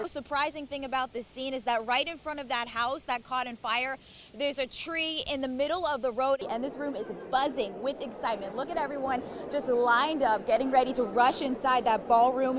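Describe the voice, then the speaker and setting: A woman with a high-pitched voice speaks at a fairly quick pace with fairly even intonation over noticeable background noise. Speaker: TV news reporter. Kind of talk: live TV news report.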